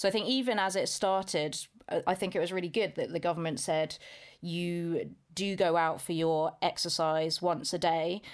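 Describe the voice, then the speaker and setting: Over a silent background on a very clean recording, a woman with a British accent speaks at medium pitch and a moderate pace. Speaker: school chemistry teacher. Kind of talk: casual podcast chat.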